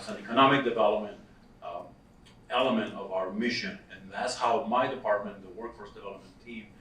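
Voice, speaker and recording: Noticeable background noise and audible room echo surround a man speaking with a Costa Rican accent. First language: Spanish. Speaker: workforce development director. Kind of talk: conference presentation.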